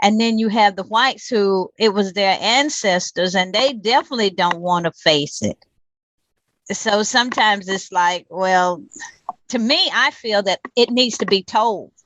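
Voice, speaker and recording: Her voice is at a medium pitch with ordinary variation. The woman speaks at a fairly slow pace. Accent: North Carolina. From US South. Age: 60s. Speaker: community activist. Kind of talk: interview.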